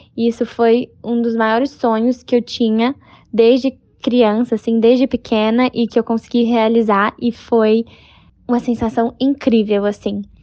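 A woman speaks at a fairly slow pace with a fairly high pitch. Her intonation is flat and monotone. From Brazil. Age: 20s. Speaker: equestrian athlete. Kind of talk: interview.

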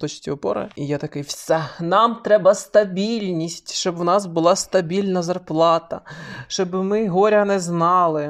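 Pitched high, a man speaks at a fairly slow pace. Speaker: podcast co-host. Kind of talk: casual chat.

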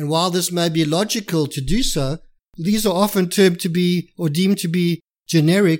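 On a very clean recording with a silent background, a man with a high voice talks at a moderate pace. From South Africa. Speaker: trademark attorney. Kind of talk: interview.

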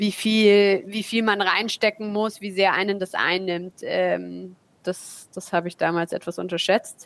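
Against noticeable background noise, a woman speaks fairly slowly in a flat, monotone way. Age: 20s. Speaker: startup co-founder. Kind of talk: interview.

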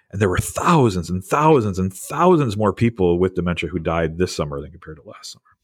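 A man with an American accent and a very deep, low pitch races along at a very fast pace with hardly any pauses, lively intonation and big swings in loudness. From US Midwest, Wisconsin. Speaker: ethics professor. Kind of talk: interview.

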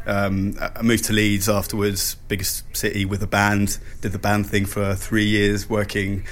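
A fairly low-pitched man at a moderate pace, flat and monotone in intonation, with audible room echo. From Switzerland, Lake Geneva. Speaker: radio imaging producer and composer. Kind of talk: interview. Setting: hotel, in person.

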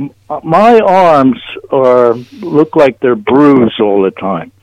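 A man with an American accent, at a very slow pace, with very wide pitch swings. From New Jersey, US. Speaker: caller. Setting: phone call.

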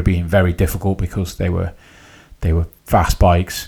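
A man talks at a moderate pace in a very deep, low, somewhat breathy voice. His intonation stays monotone and flat. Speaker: podcast host. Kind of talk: casual interview chat.

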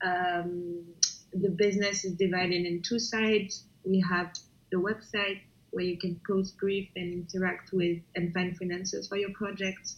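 A woman with a French accent, flat and monotone in her intonation. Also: medium pitch for a woman, fairly slow pace. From France, Paris. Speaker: startup founder and CEO. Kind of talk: interview. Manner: hesitant, many fillers.

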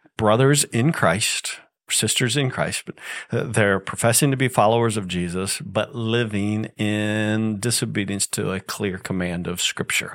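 A man's plain, everyday voice, fairly low in pitch, with ordinary pitch variation. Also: fairly slow pace. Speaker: pastor. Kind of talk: church Q&A session.

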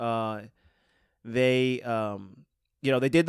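Medium-pitched male voice with ordinary pitch variation, on a very clean recording against a silent background. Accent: American. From West Seneca, Buffalo area, New York. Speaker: podcast co-host. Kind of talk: casual chat. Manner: halting.

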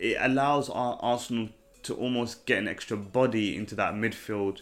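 On a very clean recording with a silent background, a man is talking. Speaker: football podcast host. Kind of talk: casual monologue. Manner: animated.

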